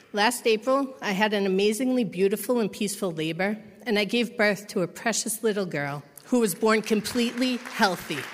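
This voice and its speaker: Amid noticeable background noise, a woman with a fairly high pitch and ordinary pitch variation talks at a fairly quick pace. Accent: American. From Massachusetts. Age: 30s. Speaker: recovery program resident. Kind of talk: testimony.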